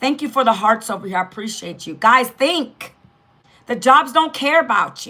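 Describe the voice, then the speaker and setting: This woman's raised, projected voice sits high in pitch, bright and sharp in tone, animated and full of very wide pitch swings. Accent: American. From Northern Virginia, US. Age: 50s. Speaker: online business coach. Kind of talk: live stream chat. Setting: live stream.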